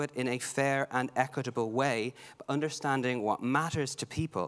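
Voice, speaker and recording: A man speaks at a medium pitch with a Dublin accent. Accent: Dublin Irish. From Ireland, Dublin. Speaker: heritage expert, archaeologist. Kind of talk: conference panel talk. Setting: conference stage with audience.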